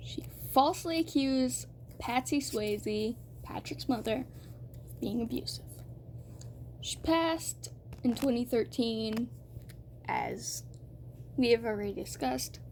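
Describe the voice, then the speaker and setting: Speaking at a fairly slow pace, a woman leaves long, frequent pauses and her loudness swings widely. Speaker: youtuber. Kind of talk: scripted commentary.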